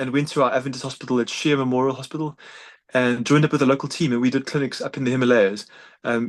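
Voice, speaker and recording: Against a quiet background, a man with a South African accent speaks very fast at a medium pitch. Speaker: doctor and humanitarian volunteer. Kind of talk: interview conversation. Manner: halting, many repetitions.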